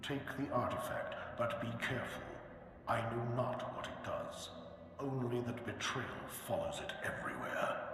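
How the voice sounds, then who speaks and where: A man performs a put-on character voice at a moderate pace. Strong echo and loud background noise fill the recording. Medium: machinima. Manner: grave, commanding.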